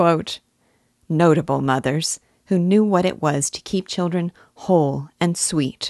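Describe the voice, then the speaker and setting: Speaking at a fairly slow pace in an unremarkable speaking voice, a woman with a fairly low pitch and ordinary pitch variation is heard against a quiet background. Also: dry, close sound with no echo. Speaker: audiobook host. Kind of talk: literary commentary with read-aloud book quotes.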